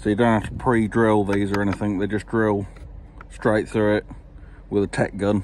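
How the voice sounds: Slightly mellow in tone, a man speaks at a fairly low pitch with little pitch movement. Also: moderate pace.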